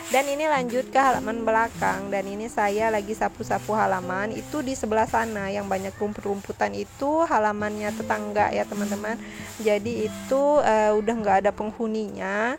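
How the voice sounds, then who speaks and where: Music plays in the background as a woman talks. She keeps a moderate pace with hardly any pauses. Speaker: cooking and home vlogger. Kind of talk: vlog voiceover narration. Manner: casual, friendly, with filler 'eh'.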